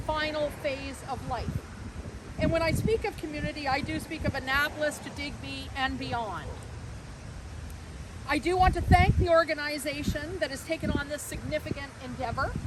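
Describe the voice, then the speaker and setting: A woman speaks loudly at a high pitch, with noticeable background noise behind her. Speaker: conference center executive. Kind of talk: public speech at outdoor event. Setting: outdoors at event site.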